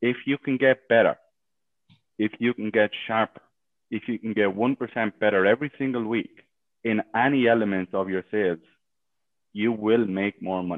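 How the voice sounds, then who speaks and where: Speaking at a moderate pace, a man with an Irish accent leaves long, frequent pauses. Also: medium pitch for a man, fairly even intonation. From Ireland. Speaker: sales coach. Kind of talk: interview. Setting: live stream in a Facebook group.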